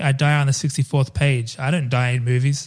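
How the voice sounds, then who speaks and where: On a very clean recording with a silent background, a man speaks in a somewhat breathy, fairly high voice. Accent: Australian. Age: 30s. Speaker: podcast host. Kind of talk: casual chat.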